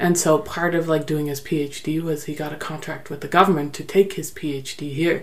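A woman with a Canadian accent and a very deep, low pitch speaks at a moderate pace in a flat monotone, hardly pausing, her loudness swinging widely over noticeable background noise and audible room echo. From Netherlands, raised in Canada. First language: Dutch. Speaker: guest, teacher. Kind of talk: interview, personal story.

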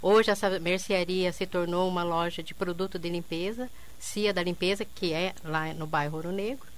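A woman talks in an unremarkable speaking voice at a fairly low pitch. Her pace is moderate and her intonation fairly even. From southern Brazil, interior of Paraná (Quedas do Iguaçu). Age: 50s. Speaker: entrepreneur, bar owner. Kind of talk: radio interview. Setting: radio studio.

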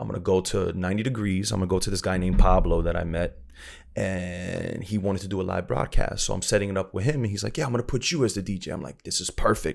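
A man speaks very fast in an American accent, his voice very deep and low, with vocal fry. His pitch variation is ordinary, and the recording is very clean with a silent background. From South Florida (Broward). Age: 30s. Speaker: DJ and radio personality. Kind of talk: casual chat.

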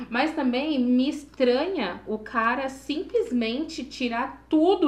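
The voice swings very widely in pitch, with audible room echo around it. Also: woman. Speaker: podcast co-host. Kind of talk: casual chat.

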